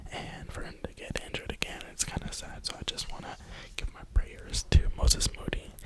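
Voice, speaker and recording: Someone whispers at a fairly quick pace against noticeable background noise. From New York (Brooklyn). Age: 20s. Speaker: ASMR creator. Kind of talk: whisper ramble. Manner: whispering.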